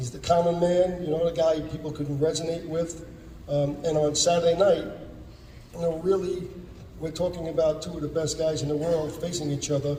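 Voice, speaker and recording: A man with a New York accent speaks fairly quickly in a flat, monotone way at a fairly high pitch. Room echo is audible, and background noise is noticeable. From New York, the Bronx. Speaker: boxing promoter. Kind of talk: press conference.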